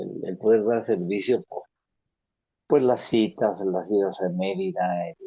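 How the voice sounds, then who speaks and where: Speaking in a dark, mellow tone, a man varies his pitch in an ordinary way. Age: 70s. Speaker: support group member. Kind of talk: support group sharing.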